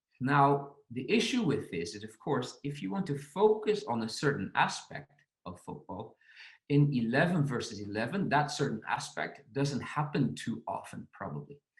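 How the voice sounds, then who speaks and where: A man's fairly high voice with vocal fry, very wide pitch swings and a non-native accent. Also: moderate pace. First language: not English. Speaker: football coach. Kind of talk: podcast presentation on coaching.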